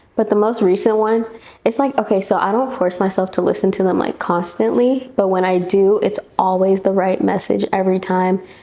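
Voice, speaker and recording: At a moderate pace and medium pitch, a woman speaks with very even loudness and ordinary pitch variation over noticeable background noise. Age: 20s. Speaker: beauty vlogger. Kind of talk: casual chat.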